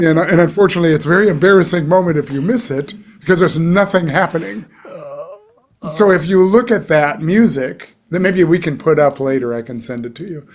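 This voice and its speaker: This man talks at a fairly quick pace in a high pitch, with lively intonation and big swings in loudness. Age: 60s. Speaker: session trumpet player. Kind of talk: casual interview conversation.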